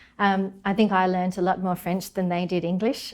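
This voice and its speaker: Speaking fairly quickly in an Australian accent, a woman holds a medium pitch with monotone, flat intonation. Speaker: marine ecologist. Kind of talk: interview.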